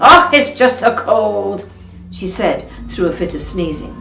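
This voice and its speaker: Music plays in the background while a woman talks with very wide pitch swings. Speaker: actress. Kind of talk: fairytale reading.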